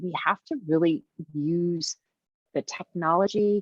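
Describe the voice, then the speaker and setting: A woman speaks in a plain, everyday voice with a fairly low pitch. Her pitch variation is ordinary. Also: dry, close sound with no echo. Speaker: childcare business consultant. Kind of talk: webinar presentation.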